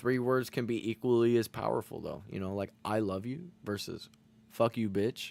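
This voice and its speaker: A man with an ordinary speaking voice talks at a moderate pace and medium pitch with ordinary pitch variation. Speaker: streamer. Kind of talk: casual chat. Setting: live stream.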